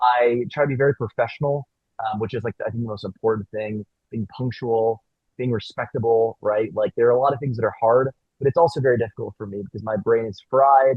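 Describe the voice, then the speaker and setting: A man talks at a fairly quick pace in a medium pitch, his intonation fairly even. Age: 20s. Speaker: city council member. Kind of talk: panel discussion. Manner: fast.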